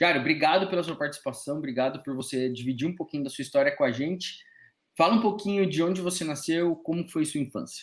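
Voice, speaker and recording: Very fast speech from a man at a fairly high pitch. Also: ordinary pitch variation. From interior of São Paulo state. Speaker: podcast host. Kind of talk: casual chat. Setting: remote recording.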